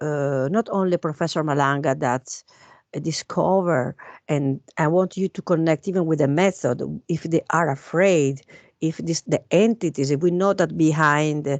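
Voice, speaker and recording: A woman with a non-native accent speaks at a moderate pace, her pitch very deep and low with ordinary variation. The sound is dry and close with no echo, over a quiet background. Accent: foreign. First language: not English. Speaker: guest speaker on alien conspiracy topics. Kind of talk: casual chat. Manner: hesitant, many fillers.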